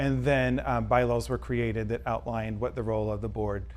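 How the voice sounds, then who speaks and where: There is audible room echo in this recording. A man talks at a fairly quick pace. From Mississippi (near Hattiesburg, Columbia). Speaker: college English professor and library board chair. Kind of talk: interview. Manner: frequent hesitations (um).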